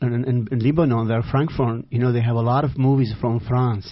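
With an Iraqi accent, a man speaks at a medium pitch. His pace is fairly quick and his intonation fairly even. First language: Arabic. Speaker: author. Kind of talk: interview. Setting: studio. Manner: halting, searching for words.

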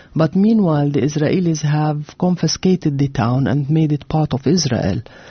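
Speaking with a Levantine Arabic accent at a moderate pace, a woman uses lively intonation in a very deep, low, somewhat breathy voice. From Jordan (Amman), Palestinian family. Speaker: author and architect. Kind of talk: interview. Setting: radio studio.

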